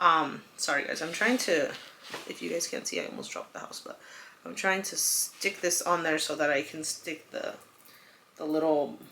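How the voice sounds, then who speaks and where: Heard over noticeable background noise, the speaker, who has a Spanish accent, swings widely in loudness. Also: woman, moderate pace. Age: 30s. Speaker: lifestyle vlogger. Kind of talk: casual chat. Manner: chatty, with many fillers.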